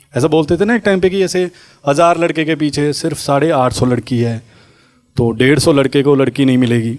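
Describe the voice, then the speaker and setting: A man speaks at a moderate pace with a fairly high pitch. His pitch varies in an ordinary way, and his loudness stays very even. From Punjab, India. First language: Punjabi (speaking Hindi). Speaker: stand-up comedian. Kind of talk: stand-up.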